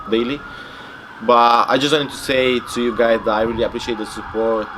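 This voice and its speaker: Someone with a Romanian accent talks at a moderate pace, with audible room echo and noticeable background noise. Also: man. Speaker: bodybuilder. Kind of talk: interview. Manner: casual, filler-heavy and halting.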